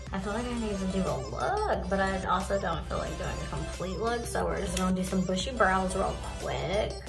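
With clear music in the background, a woman talks at a moderate pace with hardly any pauses. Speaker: beauty vlogger. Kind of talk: casual makeup tutorial chat. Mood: relaxed, joking. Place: home room. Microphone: phone near.

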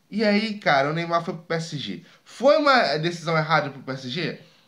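Over a quiet background, a man speaks at a very slow pace with lively intonation. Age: 20s. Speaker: sports YouTuber. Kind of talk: casual opinion monologue. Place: home room. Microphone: studio mic.

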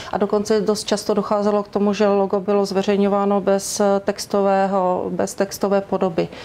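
A woman talks at a fairly quick pace with hardly any pauses, very even loudness, monotone, flat intonation and a dark, mellow tone. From Czechia, Ostrava (Moravian-Silesian region); Moravian-Silesian region, Czechia. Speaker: university press spokesperson. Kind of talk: interview. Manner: formal. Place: studio. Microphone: lapel.

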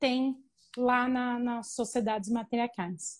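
A woman talks very slowly, with a quiet background behind her. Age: 30s. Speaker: researcher of matriarchal cultures; interviewee. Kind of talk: interview. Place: home room. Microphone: earbuds.

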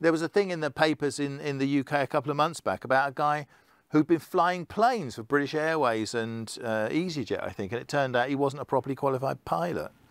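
A man's fairly high voice with an English accent, lively intonation, and a fairly quick pace, in a dry sound with no echo over a quiet background. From England. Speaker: keynote speaker on digital identity; keynote speaker. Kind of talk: conference talk. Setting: online conference session. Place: studio. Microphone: lapel.

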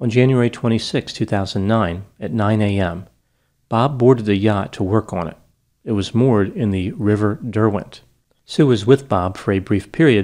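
Over a quiet background, a man with a fairly low pitch and a dark, mellow tone speaks at a moderate pace with ordinary pitch variation. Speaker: psychology educator. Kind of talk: case analysis commentary. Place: studio. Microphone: studio mic.

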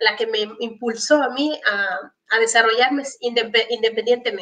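Her voice is high-pitched and bright, with a sharp tone and lively intonation. The woman talks at a fairly slow pace over a quiet background. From Ecuador, Esmeraldas province (Muisne). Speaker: entrepreneur and health researcher. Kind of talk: interview. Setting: video call. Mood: warm, reflective. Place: home room. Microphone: video call.

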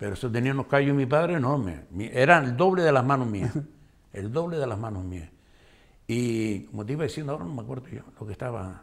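Speaking at a very fast pace, a man delivers his words with lively intonation. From Canary Islands, Gran Canaria (La Aldea de San Nicolás); Canary Islands. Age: old. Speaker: retired schoolteacher. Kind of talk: interview. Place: studio.

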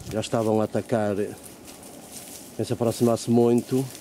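A man with a European Portuguese accent speaks in a fairly low, dark, mellow tone with monotone, flat intonation. The sound is dry with no echo, over light background noise. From Portugal. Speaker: video blogger. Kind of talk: casual vlog narration. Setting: outdoors. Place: garden. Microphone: phone near.

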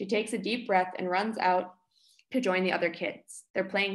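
Quiet background behind a natural reading voice.

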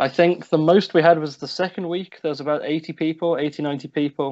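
Against a quiet background, a man with a British accent talks at a fairly quick pace. His pitch sits fairly high, with fairly even intonation. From United Kingdom. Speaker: student association volunteer. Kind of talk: interview. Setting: video call. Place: home room. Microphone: video call.

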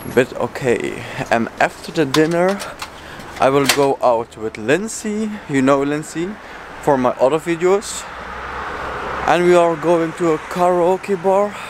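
A man's high-pitched voice at a fairly slow pace, with ordinary pitch variation and long, frequent pauses, in a dry sound with no echo and noticeable background noise. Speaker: vlogger. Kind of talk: casual vlog chat. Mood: upbeat, relaxed. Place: street. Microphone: phone near.

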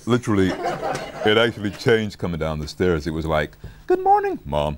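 A man with a very deep, low pitch talks at a fairly quick pace, and noticeable background noise can be heard. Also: ordinary pitch variation. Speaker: voice actor. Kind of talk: interview answer. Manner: relaxed, casual. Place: studio.

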